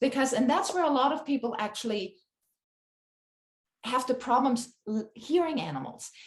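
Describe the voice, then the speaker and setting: A woman with a non-native accent and a high pitch, lively intonation, moderate pace, and long, frequent pauses. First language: not English. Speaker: animal communicator. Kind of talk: interview conversation. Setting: podcast recording.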